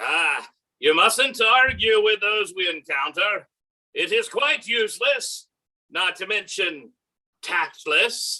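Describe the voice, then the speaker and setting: Someone speaks at a fairly slow pace in a put-on character voice with a fairly high pitch. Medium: stage play. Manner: gentle, wry.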